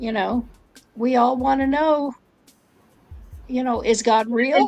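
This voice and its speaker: A woman's high-pitched voice with fairly even intonation at a fairly slow pace. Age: 70s. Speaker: author and retired English professor. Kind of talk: interview. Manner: halting.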